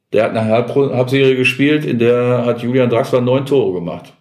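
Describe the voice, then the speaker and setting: At a moderate pace, a man talks in a normal speaking voice of medium pitch with fairly even intonation. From Gelsenkirchen, Ruhr area, Germany. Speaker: sports TV presenter. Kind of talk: casual chat.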